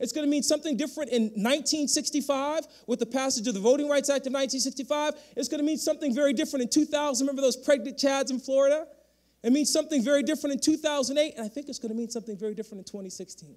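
A very fast-talking man with an American accent, an extremely high pitch, ordinary pitch variation and an animated tone, against a quiet background. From Connecticut, Bridgeport. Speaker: history professor and dean. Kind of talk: keynote speech. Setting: stage with audience. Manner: fast talker. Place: hall. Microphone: handheld.

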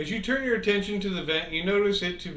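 Natural-voiced reading aloud and ordinary pitch variation

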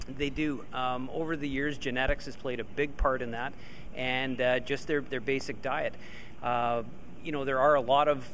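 Over light background noise, a man speaks at a moderate pace in a flat monotone. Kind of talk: interview answer. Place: farm machine. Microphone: handheld.

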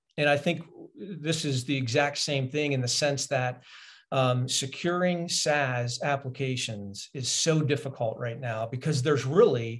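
The man's delivery is fairly slow, and his pitch varies in an ordinary way. There is some breathiness in his voice. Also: quiet background. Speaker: remote podcast guest, sales executive. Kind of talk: interview answer. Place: home room.

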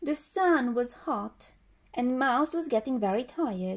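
Over a quiet background, a woman talks at a very slow pace with a gentle, soothing tone. Her voice sits high and moves in very wide pitch swings. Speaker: storyteller reading a picture book. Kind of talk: bedtime story telling, reading a children's tale aloud. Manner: gentle, soothing storyteller pace with expressive character voices. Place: home room. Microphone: phone near.

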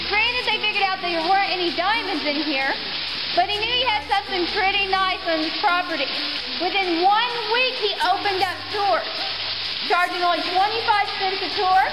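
A woman talks at a moderate pace with ordinary pitch variation while music plays in the background. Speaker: cave tour guide. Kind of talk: tour guide narration. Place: tunnel cave. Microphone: camera far.

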